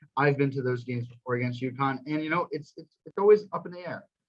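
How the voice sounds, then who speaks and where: A man's medium-pitched, somewhat breathy voice at a very fast pace, with ordinary pitch variation. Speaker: student sports show co-host. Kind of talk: casual chat. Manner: halting.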